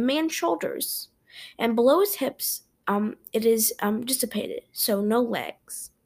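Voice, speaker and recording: A woman's fairly high-pitched, an ordinary speaking voice, with lively intonation at a fairly slow pace. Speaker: podcast host. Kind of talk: ghost story telling. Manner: casual, chatty host.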